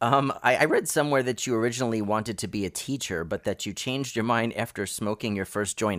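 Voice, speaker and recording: A man with an American accent talks at a very fast pace, with hardly any pauses, in a medium-pitched voice with ordinary pitch variation. The recording is very clean, with a silent background. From United States. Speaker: podcast host. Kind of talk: scripted narration; interview.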